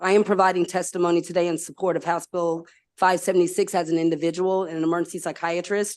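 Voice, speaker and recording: A very fast, flat-toned female voice, fairly low in pitch, over a quiet background. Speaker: psychiatrist testifying at a hearing. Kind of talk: legislative testimony. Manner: formal.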